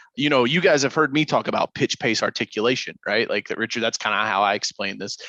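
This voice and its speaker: A man at a very fast pace, medium pitch with ordinary variation, bright, sharp tone, dry, close sound with no echo. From Kentucky. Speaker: podcast host, sales coach. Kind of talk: casual interview chat. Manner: animated.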